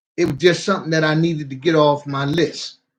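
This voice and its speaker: A man speaks at a moderate pace in a fairly high, somewhat breathy voice with fairly even intonation. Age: 60s. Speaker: vlogger. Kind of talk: casual monologue. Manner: halting.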